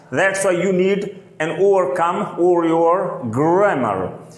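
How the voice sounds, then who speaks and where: A man speaks very slowly with a non-native accent. Audible room echo and noticeable background noise fill the recording. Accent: non-native English speaker. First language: not English. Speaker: English teacher. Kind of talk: tutorial.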